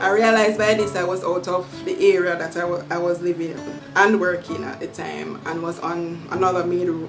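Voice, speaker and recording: Over music in the background, a woman with a Jamaican accent speaks in a fairly low pitch with fairly even intonation. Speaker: YouTuber. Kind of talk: storytime talk to camera.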